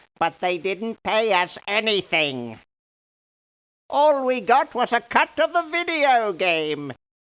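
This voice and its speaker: This is a put-on character voice that sounds female, with a fairly high pitch. The delivery is theatrical. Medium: video game. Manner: excitable, theatrical.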